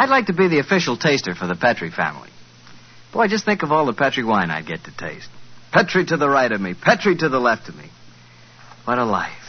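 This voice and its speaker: With a warm tone and a medium pitch, a man talks very fast, swinging his pitch very widely and leaving long, frequent pauses. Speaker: radio announcer. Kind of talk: radio sponsor ad read and announcements. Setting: studio. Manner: warm, chatty, friendly salesman tone.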